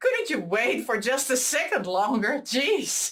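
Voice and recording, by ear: A woman speaks slowly in a fairly high, fairly bright voice with big pitch swings.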